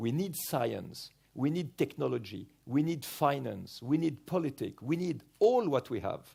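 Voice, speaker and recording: This man's tone is dark and mellow, with vocal fry. He talks fairly slowly with lively intonation. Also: fairly high pitch for a man, very clean recording, silent background. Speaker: explorer and medical doctor. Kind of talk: keynote speech.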